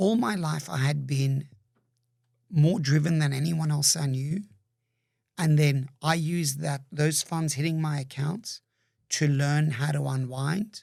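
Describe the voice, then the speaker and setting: On a very clean recording with a silent background, a man with a fairly high pitch speaks at a fairly slow pace, somewhat breathy, with fairly even intonation. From migrated young to Australia. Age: 60s. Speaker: entrepreneur. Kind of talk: interview conversation.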